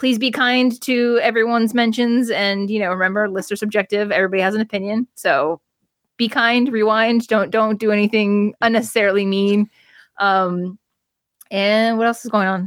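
With an American accent and an ordinary speaking voice, a woman talks at a moderate pace with a fairly high pitch and very even loudness. The sound is dry and close with no echo, in a very clean recording with a silent background. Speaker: wrestling journalist. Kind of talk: casual chat.

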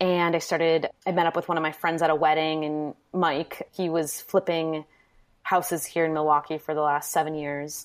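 A woman with an Upper Midwest US accent speaks at a moderate pace in a very deep, low pitch with monotone, flat intonation. The recording is very clean, with a silent background. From Wisconsin, Manitowoc. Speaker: DIY blogger. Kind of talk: interview.

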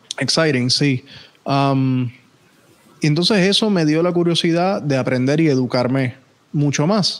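Long, frequent pauses at a fairly slow pace, with ordinary pitch variation. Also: man, fairly high pitch for a man. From Puerto Rico. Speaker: podcast host. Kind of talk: casual chat.

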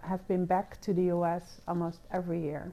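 A woman with a Dutch accent speaks at a moderate pace in a fairly low pitch, her tone dark and mellow. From Netherlands, The Hague. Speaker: diplomat, education and science attaché. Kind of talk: interview. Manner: hesitant, many fillers.

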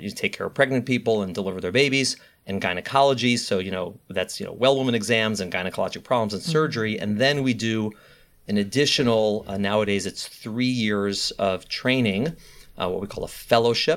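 In a very clean recording with a silent background, a man talks in an ordinary speaking voice. His pitch is medium with ordinary variation, and his pace is fairly quick. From US Midwest, Chicago. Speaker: high-risk pregnancy doctor. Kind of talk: interview.

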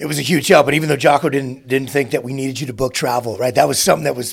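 Somewhat breathy, a man talks at a very fast pace. His pitch is medium, with ordinary variation. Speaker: podcast host and former SEAL leader. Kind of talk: interview conversation.

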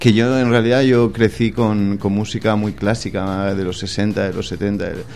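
With hardly any pauses, a man with an unremarkable speaking voice talks at a fairly slow pace and a fairly low pitch, with ordinary pitch variation. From Catalonia, Spain (Barcelona). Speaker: chef and restaurant owner. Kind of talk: radio interview. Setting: radio studio.

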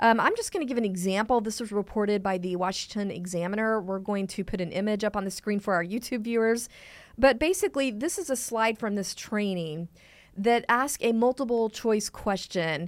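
With an American accent and an ordinary speaking voice, a woman talks at a fairly quick pace in a fairly high pitch with ordinary pitch variation. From Texas. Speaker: podcast host at advocacy group. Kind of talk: casual chat and news discussion.

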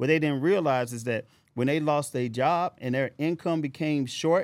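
A man speaks at a fairly high pitch with an American accent. The recording is very clean, with a silent background. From US Midwest, St. Louis. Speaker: podcast co-host, investor. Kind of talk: casual chat; motivational speech. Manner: animated.

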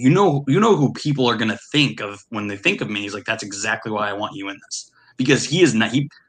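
This is a man with a normal speaking voice at medium pitch. He talks at a fairly quick pace. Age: 30s. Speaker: podcast host. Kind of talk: casual chat.

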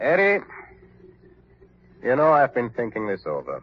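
A man's put-on character voice at a medium pitch, slightly husky at the edge, fairly slow, with very wide pitch swings.

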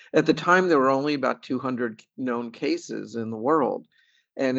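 In an ordinary speaking voice, a man speaks at a moderate pace and medium pitch with ordinary pitch variation. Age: 60s. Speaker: patient advocate and artist. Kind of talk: interview, casual conversational.

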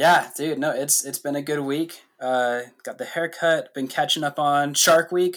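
Recorded very cleanly over a silent background, a man with a fairly high pitch speaks at a fairly slow pace with hardly any pauses. It is a normal speaking voice with fairly even intonation. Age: 20s. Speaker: podcast co-host. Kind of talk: casual chat.

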